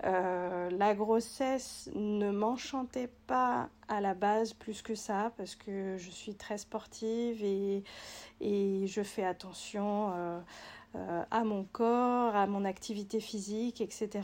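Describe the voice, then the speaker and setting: Talking at a very slow pace, a woman shows ordinary pitch variation. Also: medium pitch for a woman. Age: 30s. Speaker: physiotherapist. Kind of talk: testimony. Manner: halting.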